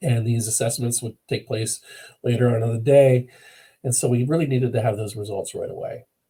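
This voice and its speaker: With a dark, mellow tone and a somewhat breathy sound, a man talks at a fairly quick pace in a medium pitch with fairly even intonation. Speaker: e-learning developer presenting a case study. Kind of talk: webinar presentation. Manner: fast; hesitant, many fillers.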